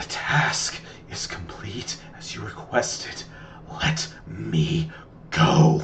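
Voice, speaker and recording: A man whispers in a put-on character voice, breathy and very slow. He leaves long, frequent pauses. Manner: whispering.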